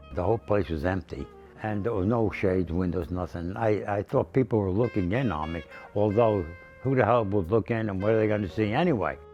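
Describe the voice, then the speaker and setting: A man's voice is fairly low and moves at a moderate pace. Background music plays, and his pitch varies in an ordinary way. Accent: American. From Newark, New Jersey. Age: 80s+. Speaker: painter. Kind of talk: interview answer.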